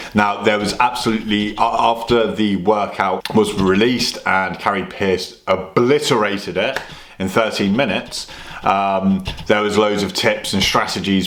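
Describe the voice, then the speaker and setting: Fairly low male voice with a British accent and fairly even intonation, plus audible room echo and noticeable background noise. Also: moderate pace. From UK. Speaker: fitness vlogger. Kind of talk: casual vlog.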